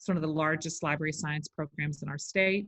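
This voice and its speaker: A woman speaks in a Texan accent at a fairly low pitch. Her voice is somewhat breathy. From Texas. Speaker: educator and literacy consultant. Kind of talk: interview.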